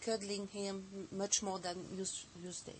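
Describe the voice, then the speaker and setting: Medium pitch from a woman, with noticeable background noise behind her. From France. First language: French (speaking Russian). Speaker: osteopath and teacher. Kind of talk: TV interview. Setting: TV studio.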